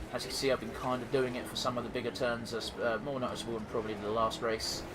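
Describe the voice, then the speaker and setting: With a southeast English accent, a man talks very fast in a flat, monotone, medium-pitched voice, with audible room echo and noticeable background noise. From southeast England. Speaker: gaming YouTuber. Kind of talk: let's play commentary. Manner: casual, halting with fillers.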